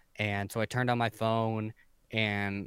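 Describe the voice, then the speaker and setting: A man speaks in a fairly low, monotone voice with flat intonation, recorded very cleanly against a silent background with a dry, close sound and no echo. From San Diego, California. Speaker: retail worker and streamer. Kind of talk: casual chat. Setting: video podcast.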